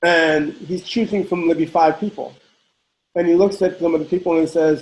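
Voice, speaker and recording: A man's high-pitched voice at a fairly quick pace, with fairly even intonation. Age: 60s. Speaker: house dancer. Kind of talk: interview. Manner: halting, many repetitions.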